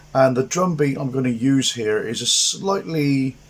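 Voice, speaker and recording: Over noticeable background noise, a man with an English accent speaks fairly slowly at a fairly high pitch with ordinary pitch variation. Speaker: guitar teacher. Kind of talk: tutorial.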